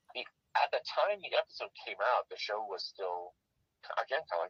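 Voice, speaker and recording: A man with a Canadian accent at a fairly quick pace, in a dry, close sound with no echo. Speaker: puppeteer and actor. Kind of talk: interview. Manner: dry and matter of fact; halting.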